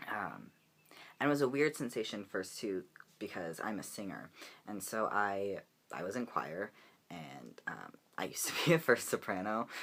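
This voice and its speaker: Fairly low-pitched with vocal fry, a man talks with lively intonation and long, frequent pauses in a very clean recording with a silent background. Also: moderate pace. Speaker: vlogger. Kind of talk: casual vlog update. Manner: casual with many fillers.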